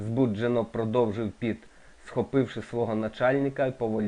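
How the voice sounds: The speaker uses a natural reading voice. The intonation stays fairly even.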